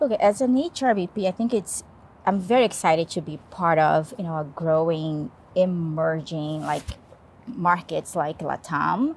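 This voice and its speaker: A woman speaks at a moderate pace in a Portuguese accent. Her voice is fairly low in pitch, with lively intonation. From Brazil. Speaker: HR business partner. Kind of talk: podcast interview. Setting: rooftop in Stockholm.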